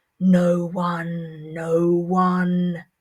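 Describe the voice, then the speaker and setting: This is a put-on character voice at a middle pitch. Its intonation stays monotone and flat. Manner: sinister, chilling.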